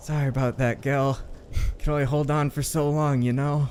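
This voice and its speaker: A man puts on a character voice at a moderate pace, pitched fairly high, with background noise clearly audible. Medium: actual play. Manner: menacing, curt.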